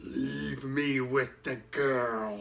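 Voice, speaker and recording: A man does a put-on character voice at a medium pitch. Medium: read story. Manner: calm, blunt.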